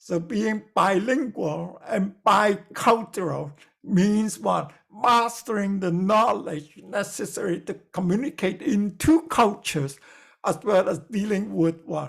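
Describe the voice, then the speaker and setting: Lively in his intonation, a man speaks very slowly at a high pitch. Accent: non-native. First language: not English. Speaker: lecturer. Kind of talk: lecture. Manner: halting, many fillers.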